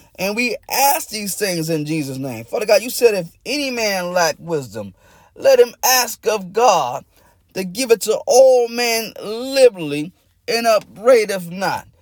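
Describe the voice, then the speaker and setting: On a very clean recording with a silent background, a man talks at a fairly slow pace in a high voice. His intonation is lively and his loudness swings widely. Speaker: pastor. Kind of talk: fervent prayer, pleading and repetitive. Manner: impassioned, urgent, rhythmic; repeats phrases, with tongues-like utterances.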